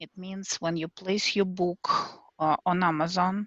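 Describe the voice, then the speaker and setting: The delivery is fairly slow, with a non-native accent. The sound is dry and close with no echo. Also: woman. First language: not English. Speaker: self-published children's author. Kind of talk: group video call discussion. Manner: hesitant, many fillers.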